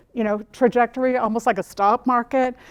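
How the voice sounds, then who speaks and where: A woman with an American accent speaks at a high pitch, the sound dry and close with no echo. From Utah, Salt Lake City. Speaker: business executive. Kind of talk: talk to an audience. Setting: stage with audience. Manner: fast; repetitive stammering starts.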